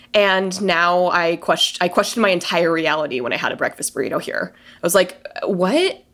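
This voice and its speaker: A woman with an American accent speaks at a medium pitch in a plain, everyday voice. The recording is very clean, with a silent background. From Colorado, US. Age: 30s. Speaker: podcaster. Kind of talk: casual chat.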